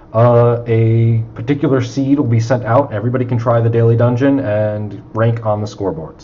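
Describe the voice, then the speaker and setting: With audible room echo, a man speaks at a fairly quick pace and medium pitch, using ordinary pitch variation. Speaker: indie video game developer. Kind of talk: casual chat. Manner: halting; mumbling.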